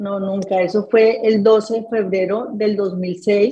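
A woman speaks very slowly in a somewhat breathy, dark, mellow tone at a fairly high pitch with fairly even intonation. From Colombia, Tolima and Bogotá; Colombia. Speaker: construction entrepreneur, accident survivor; interview guest. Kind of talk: interview testimony. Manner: halting, many repeated words. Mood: emotional personal story. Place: home room. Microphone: video call.

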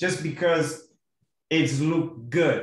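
A somewhat breathy man with fairly high pitch at a very slow pace, audible room echo and a quiet background. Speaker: course instructor. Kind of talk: online class lecture. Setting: video call. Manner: hesitant, many fillers. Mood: relaxed, friendly. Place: home room. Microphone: video call.

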